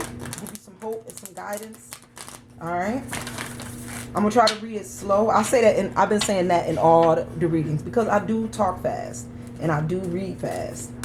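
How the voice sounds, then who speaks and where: A woman's medium-pitched voice with very wide pitch swings and big jumps in loudness, over noticeable background noise and audible room echo. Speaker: tarot reader. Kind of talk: tarot reading monologue. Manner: fast.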